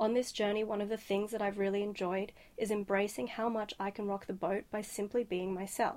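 A woman with an Australian accent at a medium pitch, fairly quick, with flat, monotone intonation. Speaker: sound artist. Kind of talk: scripted advice message.

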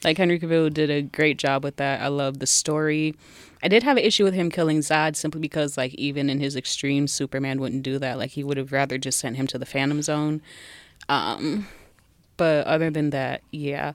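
Fairly quick speech with an American accent and fairly even intonation. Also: woman, very deep, low pitch for a woman. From Southfield and Detroit, Michigan. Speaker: blogger and cosplayer. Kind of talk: casual chat.

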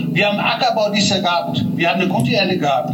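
Noticeable background noise and audible room echo accompany a man speaking at a high pitch. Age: 50s. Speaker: farmer. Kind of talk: protest speech. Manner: animated.

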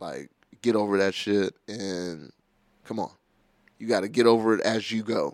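With an animated tone and a fairly low pitch, a man speaks at a moderate pace, leaving long, frequent pauses while his loudness swings widely. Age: 30s. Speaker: rapper. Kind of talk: casual chat.

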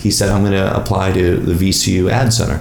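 A man with an American accent speaks in a very deep, low voice, with audible room echo and noticeable background noise. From US Northeast, Long Island. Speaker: advertising strategist. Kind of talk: casual chat. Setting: at home.

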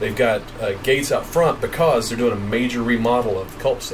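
Over noticeable background noise and audible room echo, a man talks at a very fast pace with a medium pitch and ordinary pitch variation. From East Tennessee (Johnson City). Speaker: podcast co-host, video producer. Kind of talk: casual live chat.

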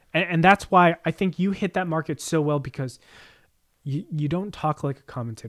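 A man with an American accent talks at a moderate pace and a fairly high pitch, in an unremarkable speaking voice. The sound is dry and close with no echo, and his pitch varies in an ordinary way. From New Jersey, Jersey Shore. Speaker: podcast co-host. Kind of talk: casual chat.

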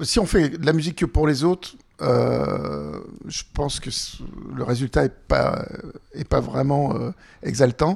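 A man talks very slowly, with long pauses that come often. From France, Annecy (Haute-Savoie). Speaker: singer-songwriter. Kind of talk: interview.

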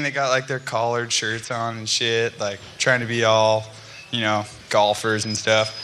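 Over noticeable background noise and audible room echo, a man with an American accent talks at a medium pitch and a fairly slow pace. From California. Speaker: pro skateboarder. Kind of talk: casual chat. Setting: stage with audience.

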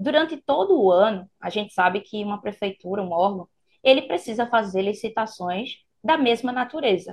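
At a moderate pace, a woman with an ordinary speaking voice talks at a fairly high pitch with lively intonation. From Pernambuco, Brazil. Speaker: public procurement instructor. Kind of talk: explanatory interview chat.

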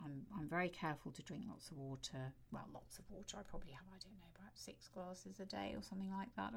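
The voice moves at a very fast pace with very wide pitch swings. Loudness rises and falls sharply, and vocal fry creeps in. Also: woman. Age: 60s. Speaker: podcast host. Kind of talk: solo monologue. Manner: conversational, relaxed.

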